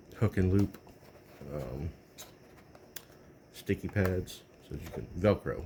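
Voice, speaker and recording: A man's very deep, low voice with a dark, mellow tone and vocal fry, lively intonation, big swings in loudness, a fairly slow pace, and long, frequent pauses. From Texas. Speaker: tech video creator. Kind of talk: casual tech review talk. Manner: halting, many fillers.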